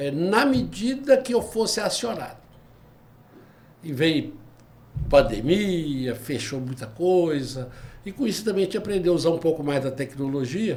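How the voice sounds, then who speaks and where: A man with a high pitch swings it very widely, speaking fairly slowly with long, frequent pauses. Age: 70s. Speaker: retired labor judge and lawyer. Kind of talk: podcast interview.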